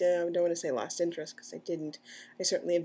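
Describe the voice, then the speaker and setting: A woman talks with an American accent. Her pitch is fairly low. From US Midwest, Kansas City area. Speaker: transgender vlogger. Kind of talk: personal video diary. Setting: at home, partner in next room. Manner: halting, many fillers.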